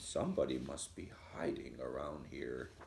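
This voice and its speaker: A put-on character voice comes at a moderate pace. Clear background noise sits behind it. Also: man. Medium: read story.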